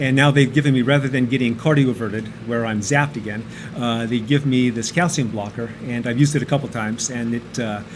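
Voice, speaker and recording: The pace is very fast, with fairly even intonation. Noticeable background noise runs underneath. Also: man, medium pitch for a man. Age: 60s. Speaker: computer programmer and amateur cyclist. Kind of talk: casual interview. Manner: hesitant, many fillers.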